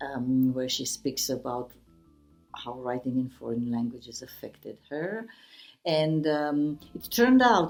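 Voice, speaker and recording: A woman with a Romanian accent speaks at a fairly slow pace with lively intonation. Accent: Romanian accent, self-described as bad. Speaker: writer. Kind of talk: interview. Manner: halting, many fillers.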